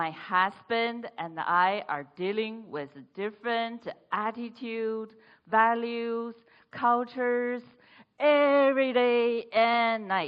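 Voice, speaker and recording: This woman's pitch is fairly high, with ordinary variation. She speaks very slowly with a Chinese accent. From China. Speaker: speech contestant. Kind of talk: humorous speech.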